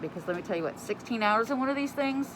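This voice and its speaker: A woman speaks very fast with a lively intonation over noticeable background noise. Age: 50s. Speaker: nurse. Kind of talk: casual talk to camera.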